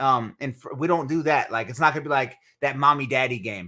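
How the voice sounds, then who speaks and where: A loud man with an American accent, medium pitch, ordinary pitch variation and a bright, sharp tone, on a very clean recording with a silent background. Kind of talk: casual chat.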